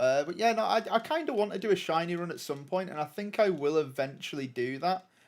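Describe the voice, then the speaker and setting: A man with a northern English accent talks very fast in a high voice, with lively intonation and hardly any pauses. The recording is very clean, with a silent background. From northern England. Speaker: gaming streamer. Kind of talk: live gameplay commentary. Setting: live stream. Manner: casual, hesitant with many fillers.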